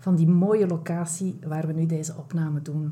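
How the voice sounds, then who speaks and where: Speaking at a moderate pace, a woman uses a fairly low pitch. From Belgium (Flanders). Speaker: self-care and burnout coach, podcast host. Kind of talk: casual interview chat. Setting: large room, in person.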